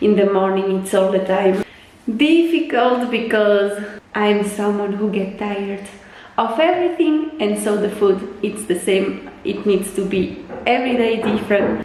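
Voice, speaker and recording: A woman speaks at a fairly slow pace with lively intonation. Audible room echo and noticeable background noise come through. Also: medium pitch for a woman. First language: French. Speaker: lifestyle vlogger. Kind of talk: casual vlog chat.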